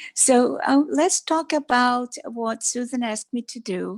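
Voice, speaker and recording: A woman speaks with a Brazilian Portuguese accent and ordinary pitch variation. The recording is very clean, with a silent background. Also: dry, close sound with no echo. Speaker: doctor. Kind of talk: talk to a club meeting. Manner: halting.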